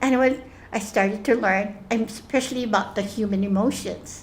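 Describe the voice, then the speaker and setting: Heard with audible room echo, a woman at a medium pitch talks at a moderate pace with fairly even intonation. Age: 70s. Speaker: spiritual group facilitator. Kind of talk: group sharing session. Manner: halting, many restarts and fillers.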